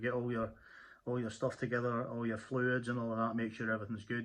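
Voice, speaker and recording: Against a quiet background, a man with a Scottish accent talks at a medium pitch. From Scotland. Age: 50s. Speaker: motorcyclist vlogger. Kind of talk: casual tutorial monologue. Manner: halting, many fillers and repeats.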